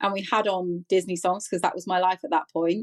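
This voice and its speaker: A woman with a British accent speaks at a moderate pace, her voice dry and close with no echo. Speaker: podcast host with functional neurologic disorder. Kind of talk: interview about personal illness. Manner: halting, repetitive.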